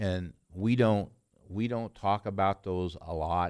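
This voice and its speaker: A man's voice with ordinary pitch variation, dry and close with no echo, in a very clean recording with a silent background. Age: 70s. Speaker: city council member. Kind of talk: council meeting remarks. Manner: halting, many fillers.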